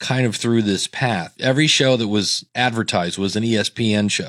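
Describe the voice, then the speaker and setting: On a very clean recording with a silent background, a man with a plain, everyday voice speaks at a fairly slow pace and medium pitch, with ordinary pitch variation. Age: 50s. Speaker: podcasting educator and hosting company employee. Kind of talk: casual chat.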